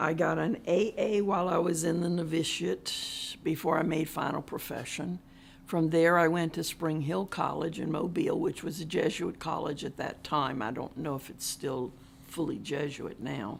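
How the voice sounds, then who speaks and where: In a very clean recording with a silent background, a woman with an American accent speaks at a moderate pace with vocal fry. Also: fairly low pitch for a woman, ordinary pitch variation. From US South, Jacksonville, Florida. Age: 70s. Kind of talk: oral history interview.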